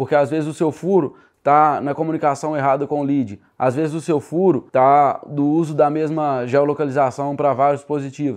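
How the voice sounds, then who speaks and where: A man's unremarkable speaking voice, fairly high and fairly even in intonation, at a fairly quick pace with hardly any pauses, over a quiet background. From Minas Gerais, Brazil (Sete Lagoas). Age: 20s. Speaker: digital marketing entrepreneur. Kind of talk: casual podcast interview.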